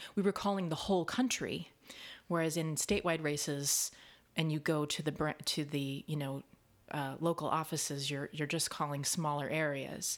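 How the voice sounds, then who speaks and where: A woman talks at a moderate pace with a very deep, low pitch and fairly even intonation. The recording is very clean, with a silent background. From US Midwest, Kansas City. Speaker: actor and dialect coach. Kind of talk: casual chat.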